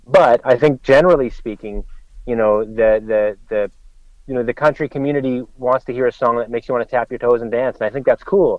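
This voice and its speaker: A man with a Canadian accent at a fairly quick pace, medium pitch and ordinary pitch variation, a plain, everyday voice. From Canada. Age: 40s. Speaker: country singer-songwriter. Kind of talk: casual interview.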